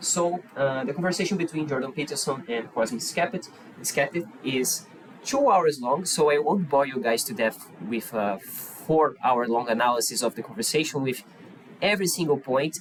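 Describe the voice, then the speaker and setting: The speaker has a Portuguese accent and lively intonation. The pace is moderate. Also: man, fairly high pitch for a man. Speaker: YouTuber. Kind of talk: react video commentary. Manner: halting.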